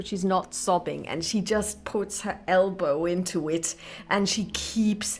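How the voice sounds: Someone reads in a natural voice.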